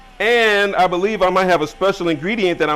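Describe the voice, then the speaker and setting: Loud and animated, a man talks with an American accent. His pitch variation is ordinary. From US Midwest, Chicago (Englewood). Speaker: chef, cooking show host. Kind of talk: live cooking demonstration. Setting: studio.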